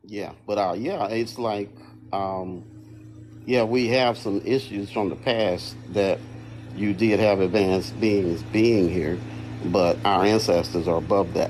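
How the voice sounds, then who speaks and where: A man's fairly low-pitched voice at a very slow pace. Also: fairly even intonation. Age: 60s. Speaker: guest on a livestream panel, engineer and Marine veteran. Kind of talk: casual panel chat.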